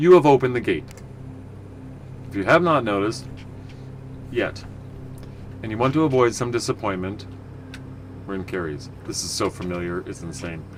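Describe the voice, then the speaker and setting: A man talks at a medium pitch with very wide pitch swings and long, frequent pauses. Noticeable background noise runs underneath. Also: fairly quick pace, big swings in loudness. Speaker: video game streamer. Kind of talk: gameplay commentary. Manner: casual, rambling.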